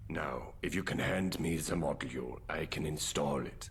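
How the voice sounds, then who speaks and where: A put-on character voice moves at a moderate pace. Background noise is clearly heard. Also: man. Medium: game stream. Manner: formal, polite.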